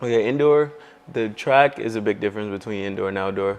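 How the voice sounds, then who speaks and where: A man with an American accent talks at a fairly quick pace in a normal speaking voice, keeping his intonation fairly even. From Texas, Dallas. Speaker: college track athlete. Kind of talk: casual interview.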